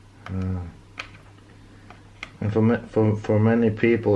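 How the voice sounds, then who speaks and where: The speaker has a Norwegian accent. The pace is fairly slow. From Norway. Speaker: DIY chainsaw repair youtuber. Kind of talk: tutorial. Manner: halting, many fillers and repeats.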